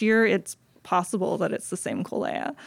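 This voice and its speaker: Her intonation stays fairly even as the woman speaks. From US South, South Carolina Low Country. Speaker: wildlife agency worker. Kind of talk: interview. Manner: halting, many fillers.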